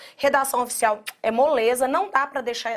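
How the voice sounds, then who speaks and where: A woman with a Minas Gerais accent speaks at a high pitch and a fairly slow pace. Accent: Minas Gerais (mineiro). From Minas Gerais, Brazil. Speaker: teacher. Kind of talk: lecture. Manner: conversational, direct address to students.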